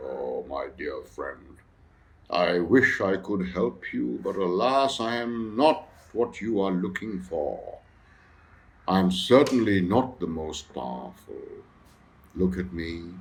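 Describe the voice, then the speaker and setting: Putting on a character voice, a man speaks resonant and rumbling at a fairly low pitch and a fairly slow pace, with long, frequent pauses. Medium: read story. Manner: slow, gentle.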